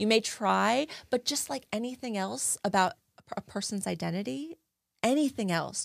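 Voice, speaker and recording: With an American accent, a woman talks at a moderate pace and a fairly high pitch, her pitch swinging very widely. The recording is very clean, dry and close with no echo and a silent background. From New Jersey. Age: 40s. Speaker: advocate. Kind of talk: interview. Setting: studio.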